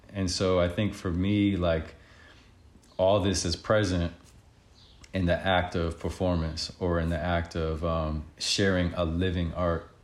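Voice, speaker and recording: A man's very deep, low voice with an American accent, calm in tone, flat and monotone in intonation, at a fairly slow pace. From Connecticut, US (Bridgeport). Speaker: artist and healer. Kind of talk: interview.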